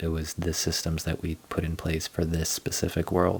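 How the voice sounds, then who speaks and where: Over music in the background, a soft-spoken voice moves at a moderate pace with monotone, flat intonation. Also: man. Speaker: gaming streamer. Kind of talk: casual live stream game tour. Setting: live stream. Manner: soft-spoken, talking quietly.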